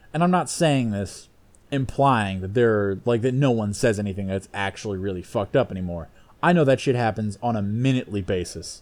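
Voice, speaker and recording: A man talks at a fairly quick pace with ordinary pitch variation. His pitch sits fairly low, in a plain, everyday voice. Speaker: podcast host. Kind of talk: casual comedic banter. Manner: jokey, casual.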